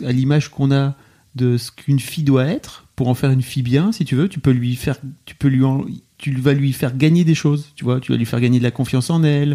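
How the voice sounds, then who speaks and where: This man has a medium pitch and a dark, mellow tone, and he moves at a fairly quick pace. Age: 40s. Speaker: podcast host. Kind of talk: remote interview. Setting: remote call.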